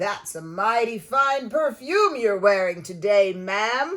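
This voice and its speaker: A woman's put-on character voice at a medium pitch, at a fairly slow pace. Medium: read story. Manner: courteous, gentle.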